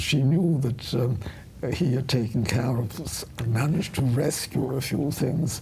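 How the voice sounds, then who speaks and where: A fairly slow voice in a German accent with ordinary pitch variation, audible room echo and noticeable background noise. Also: woman, very deep, low pitch for a woman. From Vienna, Austria, raised in England from childhood. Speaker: retired journalist, Holocaust survivor. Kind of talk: interview.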